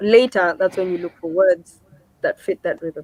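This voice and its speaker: In a Kenyan accent, a woman speaks at a moderate pace and medium pitch, the sound dry and close with no echo. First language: Kikuyu. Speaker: singer-songwriter. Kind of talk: interview.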